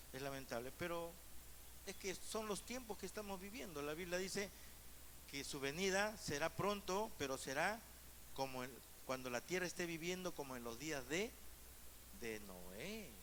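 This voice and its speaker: With noticeable background noise and audible room echo, a high-pitched man speaks fairly slowly with lively intonation and long, frequent pauses. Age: 60s. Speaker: pastor. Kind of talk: sermon.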